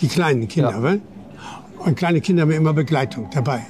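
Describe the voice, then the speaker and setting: With noticeable background noise behind him, a man talks at a moderate pace with lively intonation. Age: 80s+. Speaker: city tour guide. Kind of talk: interview. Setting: outdoors.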